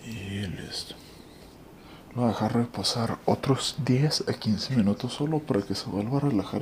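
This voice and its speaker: A soft-spoken man talks at a fairly slow pace with ordinary pitch variation over noticeable background noise. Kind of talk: ASMR cooking tutorial.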